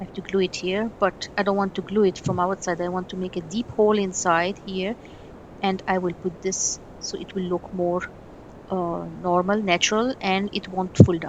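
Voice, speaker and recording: A woman at medium pitch, monotone and flat in intonation, at a moderate pace. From Egypt. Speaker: miniature craft artist. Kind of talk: tutorial. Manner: halting.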